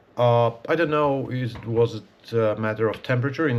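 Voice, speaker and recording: Against a quiet background, a man speaks at a moderate pace and medium pitch. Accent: Polish. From Poland. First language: Polish. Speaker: archer and video creator. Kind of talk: casual vlog talk. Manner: halting, many fillers.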